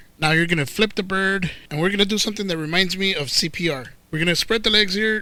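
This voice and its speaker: On a very clean recording with a silent background, a man with a Spanish accent talks at a fairly quick pace in a bright, sharp tone with ordinary pitch variation. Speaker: cooking channel host, professional cook. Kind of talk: cooking tutorial. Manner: casual, joking.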